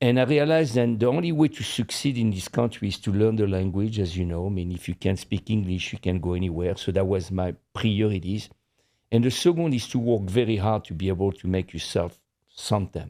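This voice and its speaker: Speaking at a fairly quick pace over a quiet background, a man with a French accent has a dark, mellow tone. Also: fairly low pitch for a man, ordinary pitch variation. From France. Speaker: podcast co-host. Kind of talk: casual chat.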